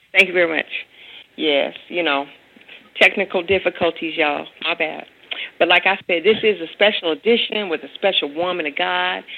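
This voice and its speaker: Her fairly low voice carries vocal fry. The woman keeps a moderate pace and fairly even intonation. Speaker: radio host. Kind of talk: radio interview. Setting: phone call.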